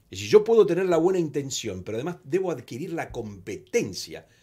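A man speaks at a fairly high pitch and a fairly quick pace, with very wide pitch swings over a quiet background. His tone is dark and mellow, with vocal fry. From Argentina. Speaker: communication organization president; guest. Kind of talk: interview. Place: studio. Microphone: studio mic.

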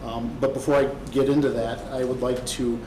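Noticeable background noise and audible room echo accompany a man whose fairly high voice stays monotone and flat. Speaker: petitioner's representative at zoning hearing. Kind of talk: formal presentation at public hearing. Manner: soft-spoken.

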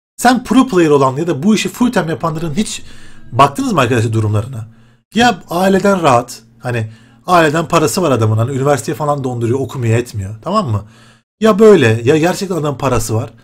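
Faint music plays in the background. A man with a fairly high pitch speaks with very wide pitch swings. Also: fairly quick pace. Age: 20s. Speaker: gaming YouTuber; gaming youtuber. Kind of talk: casual vlog talk to viewers. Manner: animated, conversational. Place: home room. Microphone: webcam.

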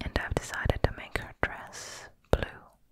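Soft-spoken and whispering, the voice sounds dry with no echo over light background noise. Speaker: presenter. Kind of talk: tutorial. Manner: soft close-up ASMR whisper.

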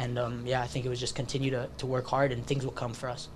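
Over light background noise, a man talks at a very fast pace in a monotone, flat intonation. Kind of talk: interview answer. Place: meeting room. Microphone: podium.

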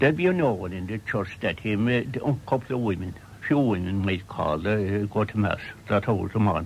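A man speaks with a Cork accent in a fairly low, somewhat breathy voice with lively intonation over light background noise. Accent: Irish, County Cork. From Ireland. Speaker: storyteller. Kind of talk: radio interview reminiscence. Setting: radio broadcast recorded off air. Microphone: old recording.

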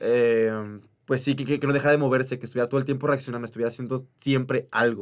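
Against a quiet background, a man talks at a very fast pace in a monotone, flat intonation. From Oaxaca, Mexico. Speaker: musical theatre actor. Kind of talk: casual chat. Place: studio. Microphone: studio mic.

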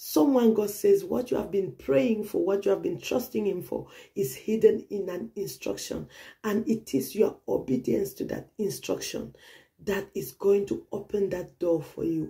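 A woman keeps a moderate pace while the background stays quiet. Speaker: pastor. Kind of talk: prophetic sermon. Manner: earnest, urgent, repetitive; direct exhortation, preacherly. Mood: earnest, emotive, sometimes smiling.

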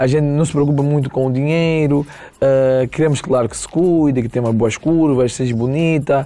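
The voice keeps a moderate pace and fairly even intonation. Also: man, fairly high pitch for a man. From Angola, Benguela; Angola. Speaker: singer; guest. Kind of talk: casual chat. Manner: calm. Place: studio. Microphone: lapel.

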